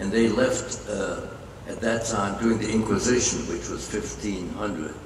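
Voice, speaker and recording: Audible room echo and noticeable background noise surround the voice. The speech runs at a moderate pace with fairly even intonation. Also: man. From Germany, Hameln. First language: German. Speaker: Holocaust survivor. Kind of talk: interview testimony. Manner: halting.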